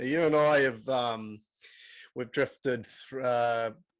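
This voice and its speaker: A man with a New Zealand accent talks in a medium pitch. His intonation is fairly even, and the recording is very clean with a silent background. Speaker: podcast host. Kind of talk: casual chat.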